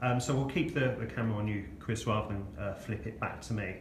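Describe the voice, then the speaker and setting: Noticeable background noise runs under a man's medium-pitched voice. He speaks at a fairly quick pace with ordinary pitch variation. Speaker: freelance journalist and interviewer. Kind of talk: interview host.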